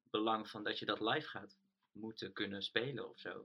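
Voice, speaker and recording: A man speaks in an unremarkable speaking voice at medium pitch. His intonation stays fairly even. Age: 20s. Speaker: band lead singer. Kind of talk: casual interview. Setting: remote call.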